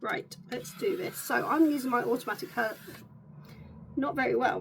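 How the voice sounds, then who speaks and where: Speech comes at a moderate pace in a British accent. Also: woman. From UK. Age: 40s. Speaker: beauty content creator. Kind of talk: get ready with me vlog. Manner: casual, chatty.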